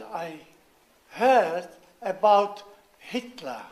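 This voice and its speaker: A man speaks with a Czech accent at a very slow pace. His intonation is lively. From Czechoslovakia (Moravian family). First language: Czech or German. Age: 90s. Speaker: war veteran. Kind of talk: speech. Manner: halting.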